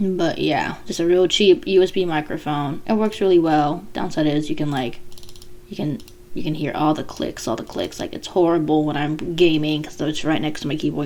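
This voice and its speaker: Amid noticeable background noise, a woman speaks at a fairly low pitch with ordinary pitch variation. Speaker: aspiring voice actor. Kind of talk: casual vlog monologue. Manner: slurred speech. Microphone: cheap USB podcast mic, clicks and pops.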